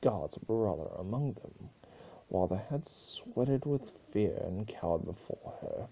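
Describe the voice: This plain reading aloud has lively intonation.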